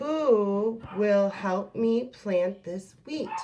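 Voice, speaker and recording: A woman's put-on character voice at a medium pitch. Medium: read story. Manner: earnest, insistent.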